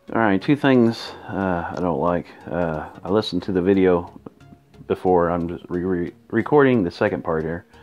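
With music in the background, a man with a very deep, low pitch speaks at a moderate pace and ordinary pitch variation. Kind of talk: casual gameplay commentary. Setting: headset earbud mic on phone.

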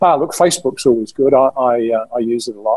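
A man at a very fast pace, ordinary pitch variation, quiet background. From London, England. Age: 60s. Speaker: mountaineer and author; podcast guest. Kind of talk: interview storytelling. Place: home room. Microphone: video call.

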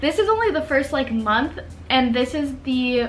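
A woman talks at a moderate pace. Background noise is clearly audible.

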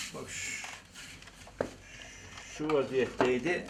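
A man's voice sits at a medium pitch. Noticeable background noise surrounds it. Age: 80s+. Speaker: carpenter. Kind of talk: interview answer.

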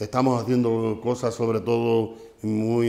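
The man's voice sits at a medium pitch. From Spain, Extremadura. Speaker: farmers' union leader; guest. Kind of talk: casual chat. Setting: studio. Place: studio.

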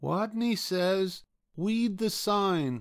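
A man puts on a squeaky character voice, pitched high. His delivery sounds shaky. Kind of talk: childlike speech with r pronounced as w. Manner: timid, trembling.

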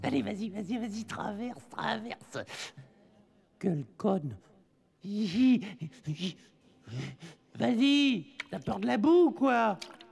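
The put-on character voice unfolds at a fairly slow pace. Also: man, high pitch for a man. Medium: dub. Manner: slurred, stammering.

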